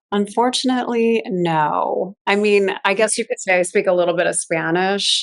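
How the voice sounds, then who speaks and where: With an unremarkable speaking voice, a woman talks at a moderate pace and medium pitch, with hardly any pauses, ordinary pitch variation and very even loudness. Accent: American. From Chicago, US Midwest. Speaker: fashion stylist. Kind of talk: interview conversation.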